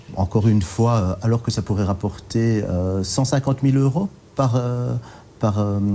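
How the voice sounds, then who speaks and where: The man's voice has a dark, mellow tone at medium pitch. His pace is moderate, his loudness very even, and his pitch varies in an ordinary way. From Brussels, Belgium (Saint-Josse). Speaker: politician. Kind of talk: TV interview.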